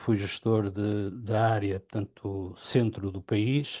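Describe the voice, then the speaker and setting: Over a quiet background, a man with a fairly low pitch and a dark, mellow tone speaks in fairly even intonation. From Portugal, Porto. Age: 60s. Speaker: business partner, engineer. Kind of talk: interview. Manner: halting, many fillers.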